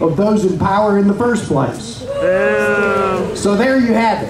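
Over noticeable background noise, a man talks at a high pitch with ordinary pitch variation. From Virginia, US. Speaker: rally speaker. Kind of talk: rally speech. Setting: outdoor rally with crowd. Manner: formal, rhetorical. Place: street. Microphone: pa.

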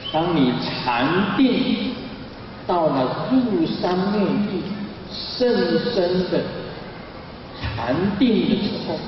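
A man at a very slow pace, with long, frequent pauses, noticeable background noise and strong room echo. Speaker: religious teacher. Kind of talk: sermon. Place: hall. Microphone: podium.

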